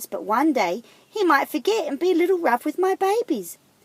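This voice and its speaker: A woman puts on a squeaky character voice at an extremely high pitch, talking at a fairly quick pace. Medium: read story.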